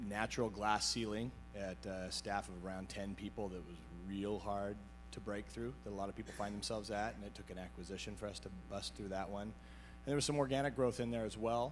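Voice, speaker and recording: Loud and fairly low-pitched, a man talks at a fairly quick pace with very wide pitch swings. Music plays in the background, and room echo is audible. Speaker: IT business owner, peer group member. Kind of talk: panel interview on stage. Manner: halting, many fillers and repeats.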